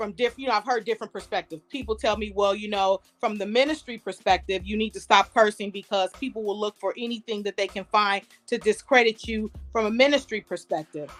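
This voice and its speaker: Recorded dry and close with no echo, a woman in a slight Southern US accent speaks at a fairly high pitch with fairly even intonation. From US Midwest, Detroit, Michigan. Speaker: comedian. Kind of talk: casual chat.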